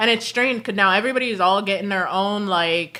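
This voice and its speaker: Bright, sharp tone in an American accent, with lively intonation at a moderate pace on a very clean recording with a silent background. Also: woman. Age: 30s. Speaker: streamer. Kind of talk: casual chat. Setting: livestream at home. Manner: fluid, runs words together.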